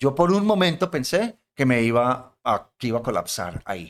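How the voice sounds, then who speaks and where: The recording is very clean with a silent background. A man with a plain, everyday voice talks at a moderate pace and medium pitch with lively intonation. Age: 60s. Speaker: podcast host, professor. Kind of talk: casual chat.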